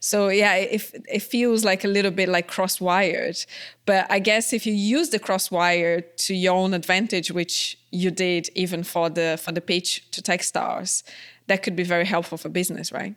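A woman with a non-native accent speaks at medium pitch and a moderate pace, with fairly even intonation. The recording is very clean, with a silent background. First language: not English. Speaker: podcast host and entrepreneur. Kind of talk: interview conversation.

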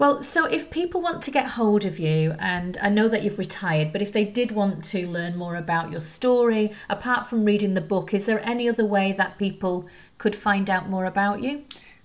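This woman has a normal speaking voice at medium pitch. Her intonation is lively. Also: moderate pace, hardly any pauses. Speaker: podcast host. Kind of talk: interview.

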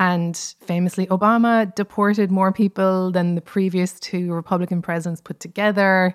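A woman with an Irish accent talks at a moderate pace with hardly any pauses, her medium-pitched delivery monotone and flat, in a dry, close sound with no echo on a very clean recording with a silent background. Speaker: comedian and writer. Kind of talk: interview.

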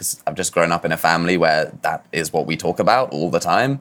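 Speaking at a moderate pace with a southern English accent, a man uses lively intonation in a very deep, low voice. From southwest England, Dorset. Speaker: regenerative finance founder. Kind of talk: interview. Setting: remote call. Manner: halting, many fillers.

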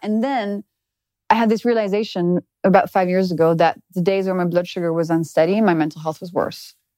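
Talking at a fairly quick pace in a French accent, a woman has a dark, mellow tone and ordinary pitch variation. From France. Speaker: biochemist and nutrition author. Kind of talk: casual interview. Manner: lively, laughs easily.

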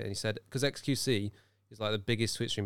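A Birmingham accent carries a playful tone. The recording is very clean, with a silent background. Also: man. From Birmingham, England. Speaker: podcast co-host. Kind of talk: casual banter between co-hosts. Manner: joking, playful.

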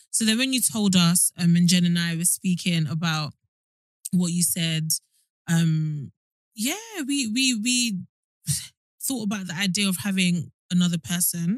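The speaker is somewhat breathy and talks at a fairly slow pace with long, frequent pauses. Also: woman, fairly low pitch for a woman, lively intonation. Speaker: podcast host. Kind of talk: casual chat.

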